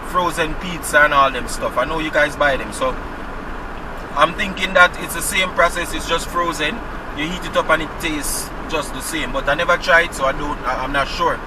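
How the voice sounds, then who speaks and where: With a Jamaican accent, a high-pitched man talks fairly quickly with fairly even intonation over noticeable background noise. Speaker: vlogger. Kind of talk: casual chat. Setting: in a car.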